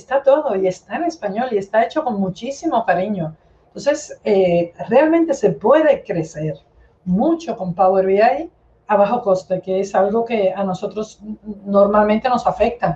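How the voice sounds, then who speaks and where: This woman talks at a fairly slow pace with a medium pitch and a dark, mellow tone. Her voice is somewhat breathy, and her intonation is lively. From Cuba. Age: 50s. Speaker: data analytics expert. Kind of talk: interview.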